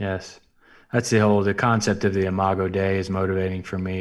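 Over a very clean recording with a silent background, a man talks at a fairly low pitch in a monotone, flat intonation. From US South, South Alabama. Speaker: nonprofit CEO. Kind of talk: interview.

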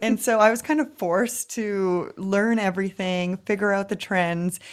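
A woman with an ordinary speaking voice talks at a fairly slow pace and medium pitch, with ordinary pitch variation, in a very clean recording with a silent background. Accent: Canadian. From Canada, Vancouver. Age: 30s. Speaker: social media coach. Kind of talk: interview.

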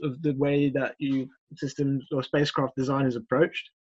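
A man has an unremarkable speaking voice, fairly high in pitch, at a moderate pace. The sound is dry and close with no echo. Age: 20s. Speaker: aerospace engineer. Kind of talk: casual interview.

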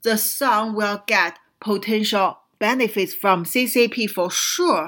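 Over a very clean recording with a silent background, a woman with a Chinese accent speaks at a very slow pace, her fairly high voice bright and sharp in tone. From China. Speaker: radio show host, whistleblower commentator. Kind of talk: political commentary monologue. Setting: radio studio. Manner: hesitant, many fillers.

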